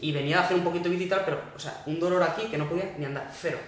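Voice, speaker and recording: A man talks at a very fast pace with ordinary pitch variation, with noticeable background noise and audible room echo. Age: 20s. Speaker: ultramarathon runner. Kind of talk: casual interview chat.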